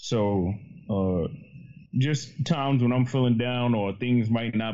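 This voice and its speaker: A man with a New York accent speaks at medium pitch and a fairly slow pace. His pitch varies in an ordinary way. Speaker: podcaster. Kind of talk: casual chat.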